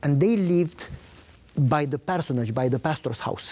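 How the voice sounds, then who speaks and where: In a Romanian accent, a man with a fairly high, dark, mellow voice talks at a moderate pace with ordinary pitch variation. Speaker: pastor. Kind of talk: interview testimony.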